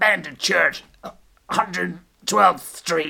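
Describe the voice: A female-sounding voice puts on a character with a New York accent. The sound is raspy.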